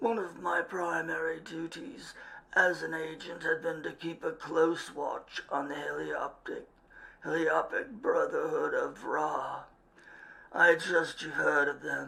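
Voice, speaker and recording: Using a raspy, put-on character voice, the man speaks fairly slowly. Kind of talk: period English gentleman. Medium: read story. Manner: formal, measured, gentlemanly.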